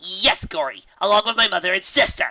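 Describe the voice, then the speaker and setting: Using a put-on character voice, a man projects loudly in a high pitch at a fairly quick pace. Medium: read story. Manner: brash, sarcastic.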